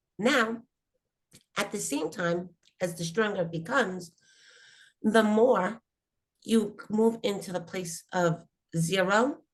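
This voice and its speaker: A woman's somewhat breathy voice at medium pitch, with ordinary pitch variation. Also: long, frequent pauses. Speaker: spiritual teacher. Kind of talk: spiritual workshop talk.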